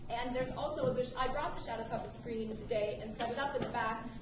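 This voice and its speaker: A loud, high-pitched woman at a fairly quick pace with fairly even intonation, over audible room echo and noticeable background noise. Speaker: visiting art teacher. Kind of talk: presentation to live audience.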